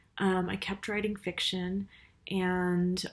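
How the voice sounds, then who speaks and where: A woman is speaking. Her intonation is flat and monotone. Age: 30s. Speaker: writer and university teacher. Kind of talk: casual vlog monologue. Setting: university office. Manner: hesitant, many fillers. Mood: reflective, personal. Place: home room. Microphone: webcam.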